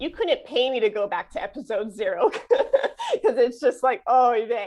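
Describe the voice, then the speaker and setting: A woman speaks in a Chicago accent. Her intonation is lively. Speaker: flutist and podcast host. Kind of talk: interview conversation.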